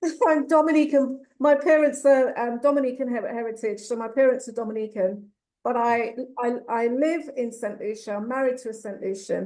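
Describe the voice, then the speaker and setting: A woman with an English accent and ordinary pitch variation. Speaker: youth mentoring program founder. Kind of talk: panel discussion.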